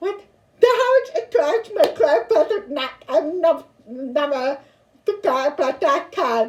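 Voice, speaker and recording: A woman speaks at a fairly slow pace in an extremely high voice that swings very widely in pitch. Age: 40s. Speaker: pastor; deaf vlogger. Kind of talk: casual vlog. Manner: halting, repetitive.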